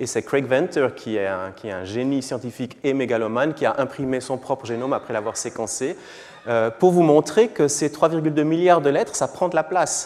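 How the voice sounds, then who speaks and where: Lively intonation marks this moderate-paced speech in a Swiss accent, with noticeable background noise behind it. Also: man, medium pitch for a man. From Switzerland. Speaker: physician and genomics professor. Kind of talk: lecture. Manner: hesitant, with fillers and repetitions.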